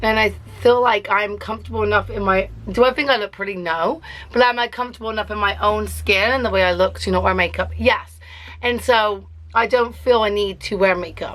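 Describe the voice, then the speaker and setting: A woman with an English accent talks at a fairly quick pace over noticeable background noise. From England. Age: 30s. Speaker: beauty vlogger. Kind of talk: casual makeup tutorial vlog. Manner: chatty.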